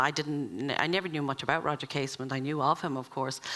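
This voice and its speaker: A woman's bright, sharp tone with an Irish accent. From Ireland. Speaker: event chair. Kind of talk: introductory speech at a summer school. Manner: halting, many fillers.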